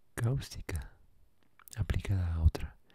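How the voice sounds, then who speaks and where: A soft-spoken man talks at a very slow pace in a very deep, low voice. His tone is relaxed, dark and mellow, and somewhat breathy. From Mexico. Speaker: ASMR creator. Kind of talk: ASMR encyclopedia reading. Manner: soft-spoken, relaxed. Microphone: studio mic.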